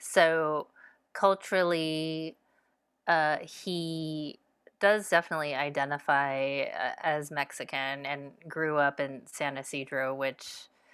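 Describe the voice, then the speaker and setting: In an American accent, a woman speaks at a very slow pace with a very deep, low pitch and fairly even intonation. The recording is very clean, with a silent background. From US (born Savannah, Georgia; Korean-German). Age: 40s. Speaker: author. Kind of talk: casual interview chat.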